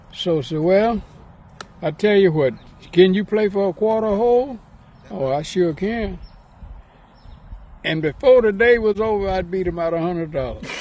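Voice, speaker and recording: Speaking with a Southern US accent, a man with a high pitch and ordinary pitch variation keeps a moderate pace broken by long, frequent pauses. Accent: Southern US (Georgia). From Atlanta, Georgia. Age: 80s+. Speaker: professional golfer. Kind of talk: interview answer, reminiscing.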